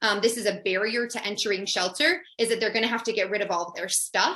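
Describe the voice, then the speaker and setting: A woman speaks at a fairly quick pace with a fairly high pitch. Her tone is bright and sharp. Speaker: nonprofit program staff presenter. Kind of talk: webinar presentation. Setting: video call. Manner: fast; many filler words.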